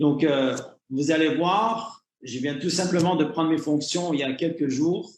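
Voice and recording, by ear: With a Canadian French accent, a man speaks at a moderate pace in a fairly high pitch with ordinary pitch variation and audible room echo.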